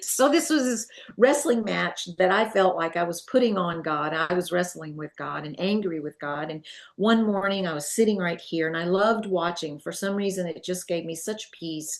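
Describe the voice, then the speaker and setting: Big swings in loudness run through this moderate-paced delivery in a Southern US accent with ordinary pitch variation. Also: woman, fairly low pitch for a woman. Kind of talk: testimony. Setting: at home.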